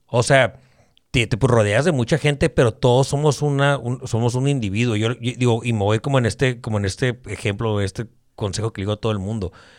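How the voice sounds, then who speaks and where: A man talks at a medium pitch with ordinary pitch variation in a plain, everyday voice. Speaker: podcaster. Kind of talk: casual chat.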